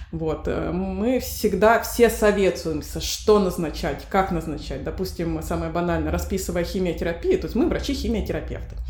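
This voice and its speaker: With audible room echo and noticeable background noise, a woman speaks at a moderate pace with hardly any pauses. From Russia, Novosibirsk. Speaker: pediatric oncologist. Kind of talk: interview.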